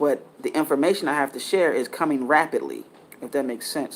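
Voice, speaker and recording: An unremarkable speaking voice from a man, fairly high in pitch, with ordinary pitch variation and a fairly quick pace. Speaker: spiritual content creator. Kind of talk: spiritual monologue.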